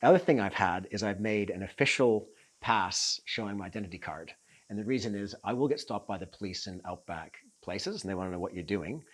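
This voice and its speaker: Talking at a very fast pace with a Canadian accent, a man uses a fairly low voice with ordinary pitch variation and big swings in loudness, in a very clean recording with a silent background. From Canada. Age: 60s. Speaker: long-distance cyclist. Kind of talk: kit walkthrough chat. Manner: halting with frequent ums.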